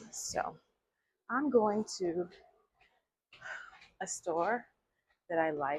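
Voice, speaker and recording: A woman's medium-pitched voice with an American accent, very slow and lively in intonation. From Chicago. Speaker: English teacher. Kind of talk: vlog-style English lesson talk to camera. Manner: slow, clear.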